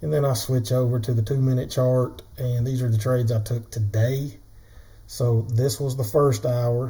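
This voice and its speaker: This voice moves at a moderate pace with a Southern US accent. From US South. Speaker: day trader, trading tutorial creator. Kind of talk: tutorial. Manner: casual, conversational.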